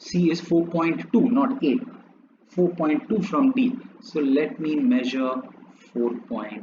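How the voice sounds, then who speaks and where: This man speaks very slowly, with long, frequent pauses. His voice is high and swings very widely in pitch. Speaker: maths teacher. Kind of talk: tutorial. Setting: drawing on a laptop.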